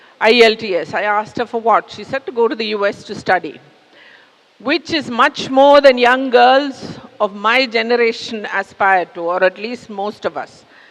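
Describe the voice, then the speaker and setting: Fairly high-pitched woman at a moderate pace, with ordinary pitch variation, big swings in loudness and noticeable background noise. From India. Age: 60s. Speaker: public speaker. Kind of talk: talk to an audience. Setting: stage with audience. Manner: conversational.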